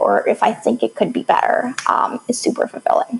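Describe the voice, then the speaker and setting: A fairly quick pace in an American accent, with noticeable background noise. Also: woman. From moved to the US at age seven from an Arabic-speaking country. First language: Arabic. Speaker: startup founder and software developer. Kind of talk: podcast interview.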